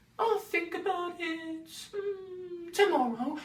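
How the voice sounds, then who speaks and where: Squeaky and extremely high-pitched, a woman's put-on character voice goes along at a very slow pace. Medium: audio drama. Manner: drowsy, hesitant.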